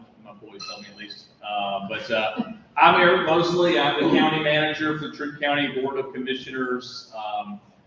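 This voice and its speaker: A man with an American accent talks at a fairly high pitch with lively intonation and big swings in loudness, over noticeable background noise and audible room echo. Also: moderate pace. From South Carolina. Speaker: county manager. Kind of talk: talk to a club. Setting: meeting room with audience. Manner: halting. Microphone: no microphone.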